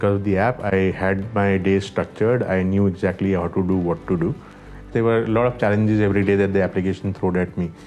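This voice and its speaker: A man talks in a very deep, low voice with monotone, flat intonation. Music plays in the background. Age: 40s. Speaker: app user giving a weight-loss testimonial. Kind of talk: testimony.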